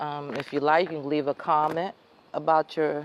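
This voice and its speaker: With noticeable noise behind her, a woman speaks fairly slowly in a very deep, low voice. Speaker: vlogger sharing personal stories. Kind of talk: casual storytelling monologue. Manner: halting.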